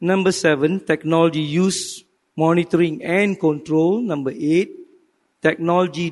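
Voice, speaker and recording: At a fairly slow pace, a high-pitched man talks with very even loudness and fairly even intonation. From Malaysia. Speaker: professor and business faculty dean; professor. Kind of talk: panel presentation. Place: hall. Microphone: handheld.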